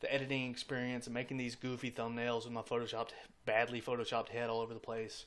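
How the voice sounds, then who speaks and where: Very fast, monotone speech from a man at a medium pitch, the intonation flat throughout. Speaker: gaming YouTuber. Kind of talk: casual vlog to camera. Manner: lip smacking before speaking.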